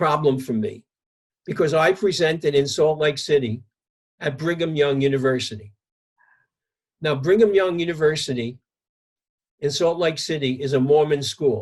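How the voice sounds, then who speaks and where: This man speaks with a New York accent. His pitch sits fairly high. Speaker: psychologist. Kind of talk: interview, telling an anecdote.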